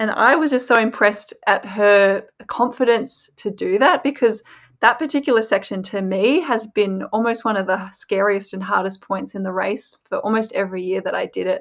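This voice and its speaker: In an Australian accent, a woman speaks at a moderate pace with a fairly high pitch and ordinary pitch variation, on a very clean recording with a silent background. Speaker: former pro cyclist, pundit. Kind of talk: casual chat.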